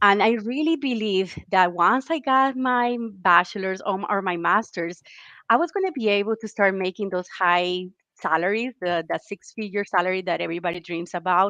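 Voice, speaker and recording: With a Colombian accent, a woman speaks at medium pitch and a moderate pace, her tone bright and sharp, her pitch variation ordinary, against a quiet background. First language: Spanish. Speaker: military spouse, career program manager. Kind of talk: webinar interview.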